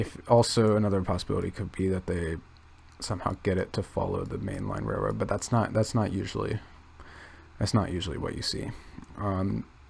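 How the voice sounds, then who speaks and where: A soft-spoken man at a fairly quick pace, with long, frequent pauses. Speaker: youtuber. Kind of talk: casual commentary while browsing maps. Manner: hesitant, many fillers.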